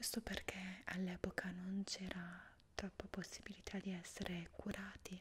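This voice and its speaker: A soft-spoken woman whispers at a fairly slow pace in a calm, soothing tone. Her loudness stays very even over light background noise. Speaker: asmr creator. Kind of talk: asmr whispered roleplay, soft-spoken face reflexology lesson. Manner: soft-spoken, slow, calm and soothing, whispered. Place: home room.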